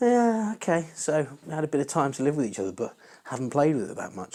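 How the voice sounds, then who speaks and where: Speaking at a very fast pace, a man talks with an English accent. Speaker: welding hobbyist youtuber. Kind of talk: tutorial. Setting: home garage. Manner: casual, hesitant.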